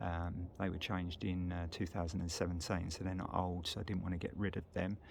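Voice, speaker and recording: A man with a British accent speaks in a very deep, low pitch. His delivery is fairly quick and monotone, with flat intonation. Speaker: motorcycle vlogger. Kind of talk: casual walkaround video. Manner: hesitant, many fillers.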